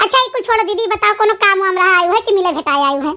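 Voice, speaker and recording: In a cartoonish character voice, a woman speaks very fast in an extremely high, squeaky pitch with ordinary pitch variation. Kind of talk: rural comic family drama. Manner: warm, calm, forgiving.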